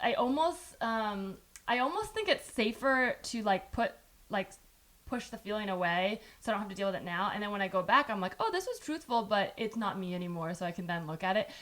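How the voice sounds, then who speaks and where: A woman with a Californian accent speaks at a fairly quick pace in a fairly high pitch, her intonation lively, over noticeable background noise. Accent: Californian American. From US West, San Jose, California. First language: Chinese. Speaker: podcast host. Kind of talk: casual chat.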